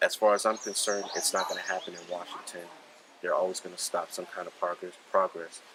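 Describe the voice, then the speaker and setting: Very fast speech over noticeable background noise. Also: man. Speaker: firearms instructor. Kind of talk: interview. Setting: at a shooting event. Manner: approachable, calm.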